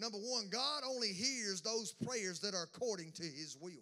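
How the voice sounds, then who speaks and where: This man's high, raised and projected voice carries a bright, sharp, animated tone with lively intonation at a moderate pace. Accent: Southern US. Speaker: pastor. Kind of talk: sermon. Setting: church.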